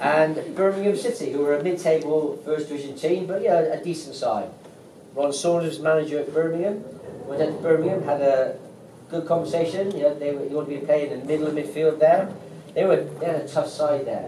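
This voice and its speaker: Over noticeable background noise and audible room echo, a man speaks at a fairly quick pace in a fairly high pitch with fairly even intonation. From West Country, England (Bristol). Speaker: former footballer, stadium tour guide. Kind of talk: storytelling on a guided tour.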